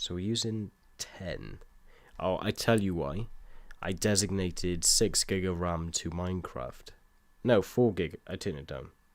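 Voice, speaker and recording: A man with a British accent speaks at a fairly slow pace in a very deep, low pitch. His pitch varies in an ordinary way. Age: 20s. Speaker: gaming live streamer. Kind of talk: casual live-stream chat. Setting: live stream from home.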